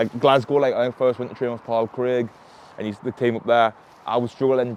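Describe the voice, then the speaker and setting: A man speaks at a medium pitch and a fairly quick pace. His intonation is monotone and flat. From North East England, Sunderland. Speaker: mixed martial arts fighter. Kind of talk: casual chat. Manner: fast.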